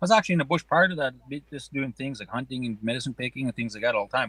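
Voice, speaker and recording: A man's medium-pitched, bright, sharp voice at a very fast pace, with ordinary pitch variation and a dry, close sound with no echo. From Nakota Sioux Nation, Alberta, Canada. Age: 40s. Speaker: pow-wow singer, forestry worker. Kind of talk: podcast interview answer. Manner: casual, relaxed.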